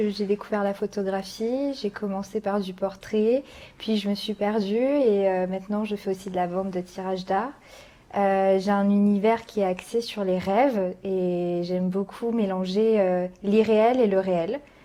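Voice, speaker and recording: Her tone dark and mellow, a woman talks at a fairly slow pace and medium pitch with fairly even intonation on a very clean recording with a silent background. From France, Charente-Maritime. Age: 20s. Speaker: photographer. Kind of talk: casual chat. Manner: hesitant.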